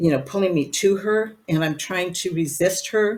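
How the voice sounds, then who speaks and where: Ordinary pitch variation in a woman's speech. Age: 70s. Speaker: psychic medium. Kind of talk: interview.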